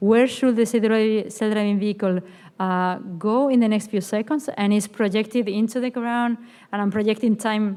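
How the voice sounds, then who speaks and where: At a very fast pace, a woman speaks with a fairly high pitch, fairly even intonation and a dark, mellow tone. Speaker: AI scientist and conference speaker. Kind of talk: conference talk. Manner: filler-heavy with self-corrections.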